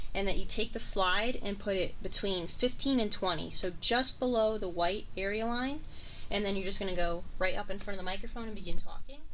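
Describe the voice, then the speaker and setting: A woman speaks at a fairly quick pace and a medium pitch, with ordinary pitch variation. Room echo is audible. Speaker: college radio station manager. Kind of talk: tutorial. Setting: radio studio. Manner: loud.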